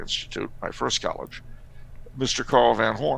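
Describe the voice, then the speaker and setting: A man at a moderate pace. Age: 50s. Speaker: author and historian guest. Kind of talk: casual podcast interview. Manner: conversational with frequent hesitations.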